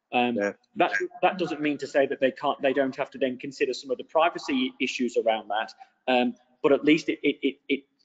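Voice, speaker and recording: Against a quiet background, a man with an Australian accent talks at a fairly quick pace in a fairly high pitch with fairly even intonation. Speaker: state archives director. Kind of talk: webinar panel discussion. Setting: video call. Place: home room. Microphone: video call.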